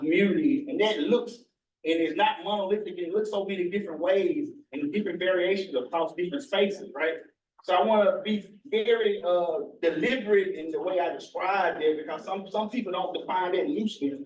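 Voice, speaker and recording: Speaking at a fairly quick pace with a Mississippi accent, a man uses lively intonation at a high pitch. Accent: Southern US (Mississippi). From US South, northern Mississippi. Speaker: researcher. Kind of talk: presentation.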